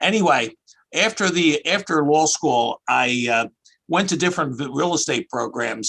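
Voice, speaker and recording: A man with a fairly high pitch, a bright, sharp tone and vocal fry, moderate pace, ordinary pitch variation, and a dry, close sound with no echo. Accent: Philadelphia. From US Northeast, outside Philadelphia. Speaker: accountant and tax expert. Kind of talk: interview. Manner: casual, conversational.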